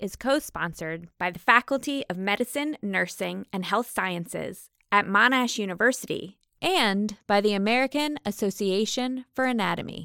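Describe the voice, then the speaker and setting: In a very clean recording with a silent background and a dry, close sound with no echo, a woman with an unremarkable speaking voice talks at a moderate pace with hardly any pauses, her pitch fairly high and her intonation lively. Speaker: podcast host. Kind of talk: interview.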